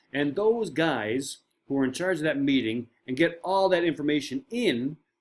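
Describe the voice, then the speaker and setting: A man talks with a Newfoundland accent. His intonation is lively. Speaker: marine safety trainer. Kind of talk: online course lecture. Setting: home shed.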